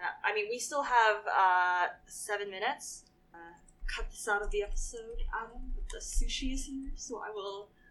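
A woman's fairly high voice, an ordinary speaking voice with ordinary pitch variation at a moderate pace. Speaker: podcast co-host. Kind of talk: casual chat.

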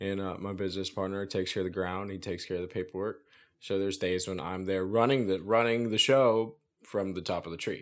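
With an American accent, a man talks at a very fast pace with fairly low pitch and fairly even intonation, on a very clean recording with a silent background. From US South, central Florida. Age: 20s. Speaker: tree service business owner. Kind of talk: casual interview chat.

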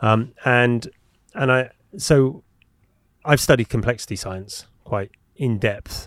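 With an English accent, a man speaks at a very slow pace with long, frequent pauses, his medium pitch showing ordinary variation. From England. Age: 40s. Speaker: podcast host. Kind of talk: interview conversation. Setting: studio.

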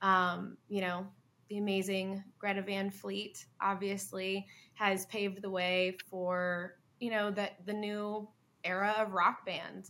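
A woman talks at a very slow pace with a slight Southern US accent. Her tone is bright and sharp, her intonation monotone and flat. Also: medium pitch for a woman. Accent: light southern US. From US South, Hilton Head Island, South Carolina. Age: 20s. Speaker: rock musician. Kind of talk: interview.

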